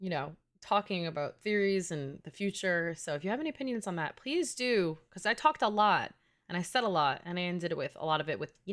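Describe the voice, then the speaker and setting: Animated in tone, a woman with a New York accent speaks at medium pitch on a very clean recording with a silent background. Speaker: gaming streamer. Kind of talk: casual live stream chat. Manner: fast.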